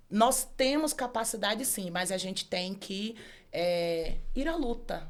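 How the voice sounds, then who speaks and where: Speaking at a very slow pace, the woman has a fairly high pitch. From Brazilian Northeast, Bahia (Feira de Santana area). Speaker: law professor and author. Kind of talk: casual interview chat.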